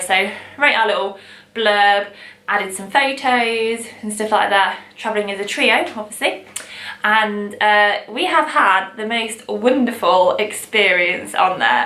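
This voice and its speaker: A woman speaks at a fairly slow pace with an East Midlands accent over noticeable background noise. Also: fairly high pitch for a woman, ordinary pitch variation. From England, Long Eaton. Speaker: vintage shop owner. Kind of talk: casual talk to camera.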